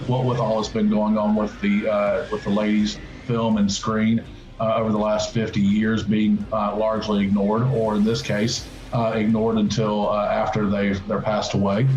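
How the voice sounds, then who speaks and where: A man with a fairly low pitch talks at a moderate pace in a flat monotone, his loudness very even, with music in the background and audible room echo. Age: 40s. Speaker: podcast host. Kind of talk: casual chat. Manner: halting.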